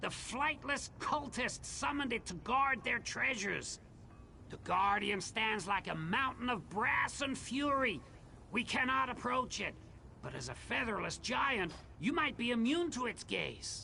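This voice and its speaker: Put-on character voice, clear background noise behind it. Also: man, extremely high pitch for a man, moderate pace. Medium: video game. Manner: theatrical, grandiloquent.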